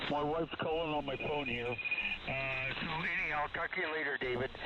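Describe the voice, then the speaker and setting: Behind the speech there is noticeable background noise. The man's intonation is fairly even. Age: 70s. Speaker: ham radio operator. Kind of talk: casual chat. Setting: radio contact.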